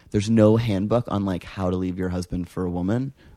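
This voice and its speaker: Fairly low in pitch with a dark, mellow tone, a man speaks at a fairly quick pace with fairly even intonation. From Canada. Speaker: interview guest. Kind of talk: casual chat.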